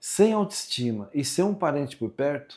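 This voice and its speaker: On a very clean recording with a silent background, a man with a fairly high voice and a dark, mellow tone speaks fairly slowly, his pitch swinging very widely. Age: 60s. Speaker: vlogger. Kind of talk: personal storytelling monologue. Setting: at home, kitchen sink. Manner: casual, conversational.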